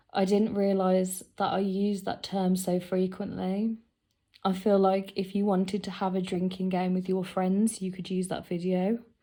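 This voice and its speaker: Someone with a British accent speaks at a moderate pace in a monotone, flat intonation. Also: woman, medium pitch for a woman. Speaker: fragrance collector. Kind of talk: casual talk to camera.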